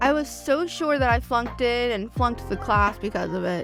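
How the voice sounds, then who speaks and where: With music in the background, a woman talks in an American accent. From Southern US. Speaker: art YouTuber. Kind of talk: voiceover narration.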